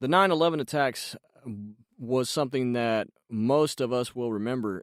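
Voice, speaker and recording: An unremarkable speaking voice from a man at medium pitch, lively in intonation, in a very clean recording with a silent background and a dry, close sound with no echo. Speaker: voice actor. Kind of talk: podcast host talk. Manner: casual, conversational.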